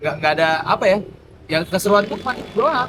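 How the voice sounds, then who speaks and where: A man rattles along very fast in a high voice. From Sumatra and Papua, Indonesia (Palembang, Timika, Lampung). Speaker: MC and entertainer. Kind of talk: casual podcast interview. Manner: animated, slangy.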